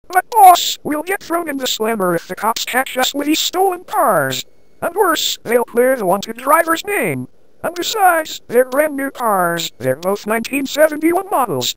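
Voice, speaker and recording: This is a put-on character voice pitched high. Its pitch swings very widely. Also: moderate pace. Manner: whiny, worried.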